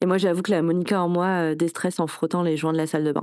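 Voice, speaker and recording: A woman's fairly low-pitched voice with a dark, mellow tone and monotone, flat intonation, dry and close with no echo, in a very clean recording with a silent background. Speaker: wellbeing podcaster. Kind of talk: podcast monologue. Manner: casual, many hesitations.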